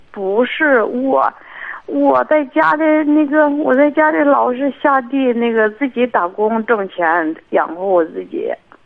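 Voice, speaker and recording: A woman's high-pitched voice at a very slow pace, with very wide pitch swings and noticeable background noise. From Hebei. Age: 50s. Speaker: caller. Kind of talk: call-in advice talk. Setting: phone call. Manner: soft-spoken; halting.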